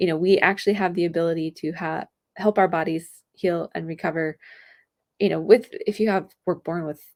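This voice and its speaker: Soft-spoken, fairly quick speech with vocal fry, on a very clean recording with a silent background. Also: woman. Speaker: health podcast host. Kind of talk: solo podcast monologue. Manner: animated.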